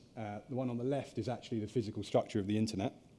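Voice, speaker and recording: A man's dark, mellow tone with fairly even intonation over light background noise. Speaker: conference speaker. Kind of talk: lecture. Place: hall.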